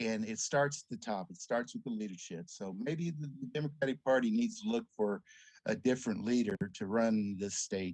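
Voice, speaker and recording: A man with an American accent and a medium pitch speaks at a moderate pace with lively intonation. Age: 60s. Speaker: congressional candidate. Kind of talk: political interview. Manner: hesitant, many fillers.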